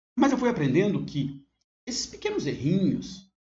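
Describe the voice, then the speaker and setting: A man speaks at a fairly quick pace in a Minas Gerais accent. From Brazil, Minas Gerais. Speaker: university teacher. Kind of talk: online course lesson. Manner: conversational with fillers and self-corrections.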